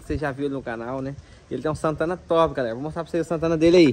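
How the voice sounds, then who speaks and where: The speaker talks at a very fast pace with ordinary pitch variation over light background noise. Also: man. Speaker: vlogger. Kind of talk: casual vlog chat. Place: street. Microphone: phone near.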